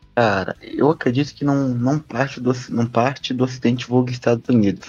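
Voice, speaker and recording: A man with an unremarkable speaking voice talks at medium pitch and a moderate pace. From Brazil, southeastern Minas Gerais. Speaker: podcast panelist. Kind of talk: casual discussion podcast.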